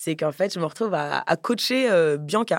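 A woman's fairly low voice with vocal fry, at a moderate pace, in a dry, close sound with no echo. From Paris, France. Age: 30s. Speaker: podcaster and entrepreneur. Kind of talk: casual chat.

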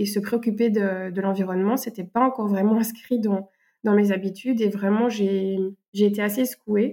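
A woman's medium-pitched, dark, mellow voice with monotone, flat intonation, a moderate pace and a slight Belgian accent. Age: 30s. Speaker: French teacher and eco activist. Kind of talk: interview. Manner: hesitant, with fillers.

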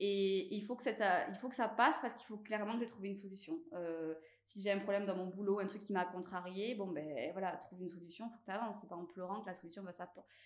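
A woman with a medium pitch and ordinary pitch variation talks very fast, with hardly any pauses. Her loudness swings widely. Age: 30s. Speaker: clothing brand founder, former estate agent. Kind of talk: casual interview. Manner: halting, many hesitations and repetitions.

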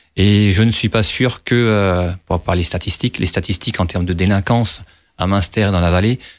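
Speaking at a moderate pace, a man with fairly low pitch and fairly even intonation is heard on a very clean recording with a silent background. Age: 30s. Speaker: landscape engineer and election candidate. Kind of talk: political debate. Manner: halting, many hesitations.

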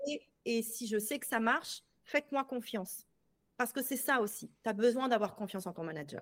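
Speaking at a moderate pace, a woman with a plain, everyday voice uses lively intonation and a fairly high pitch, her loudness swinging widely. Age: 40s. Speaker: sales coach. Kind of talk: casual chat.

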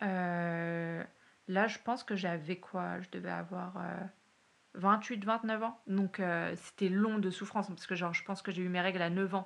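This woman talks at a very slow pace. Her medium pitch holds a fairly even intonation. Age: 30s. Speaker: university lecturer and PhD student. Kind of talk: testimony. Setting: at the host's home. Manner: hesitant, many fillers.

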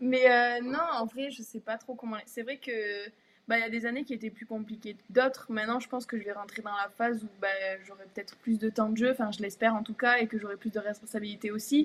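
At a fairly quick pace, a woman with a fairly high pitch speaks in a flat monotone, her loudness swinging widely. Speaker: professional basketball player. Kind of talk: casual interview. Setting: live stream.

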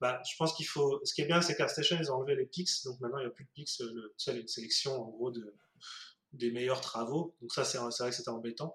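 Here a man talks at a fairly quick pace in a plain, everyday voice. His pitch sits fairly high, with ordinary pitch variation. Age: 30s. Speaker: 3D artist. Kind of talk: casual interview.

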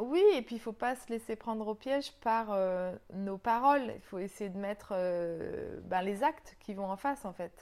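Very slow speech from a woman at medium pitch, its pitch moving in an ordinary way. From New Caledonia, raised sailing around the world. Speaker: yoga teacher and journalist. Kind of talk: interview.

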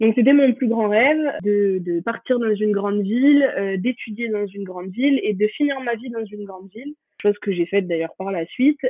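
Her voice is fairly high with ordinary pitch variation, and the woman keeps a moderate pace while her loudness swings widely. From France, Pyrenees. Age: 20s. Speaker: law student. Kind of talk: interview testimony. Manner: hesitant, many fillers.

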